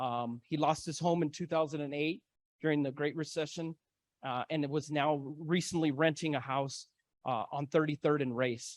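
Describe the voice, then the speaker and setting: An American-accented man uses an ordinary speaking voice at a fairly high pitch, moderate pace and fairly even intonation, with a dry, close sound, no echo and a quiet background. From Denver, Colorado (East Denver). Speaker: community organizer and moderator. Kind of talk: symposium talk.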